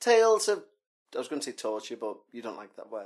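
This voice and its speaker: In a very clean recording with a silent background, a speaker with a British accent uses very wide pitch swings. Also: man. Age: 40s. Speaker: podcast host. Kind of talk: casual chat. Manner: animated.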